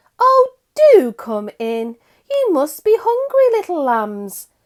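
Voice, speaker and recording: A put-on character voice, female-sounding and squeaky, reaches an extremely high pitch with very wide pitch swings. It is raised and projected, moving at a fairly slow pace. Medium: read story. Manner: soft, sugary.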